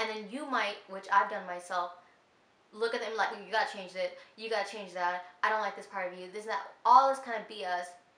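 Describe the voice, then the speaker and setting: A woman speaks fairly quickly in an animated tone at medium pitch. Her loudness swings widely, and room echo is audible. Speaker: lifestyle vlogger. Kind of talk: casual advice vlog.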